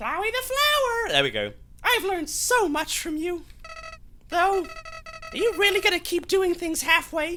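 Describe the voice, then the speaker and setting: A woman's put-on character voice at an extremely high pitch, moderate in pace, over clear background noise. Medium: game stream. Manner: sneering, menacing.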